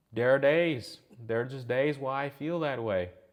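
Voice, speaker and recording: A quiet background behind a man's fairly slow pace. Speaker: gaming youtuber. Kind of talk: personal rant monologue. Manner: flat, straight-faced delivery; hesitant, many fillers.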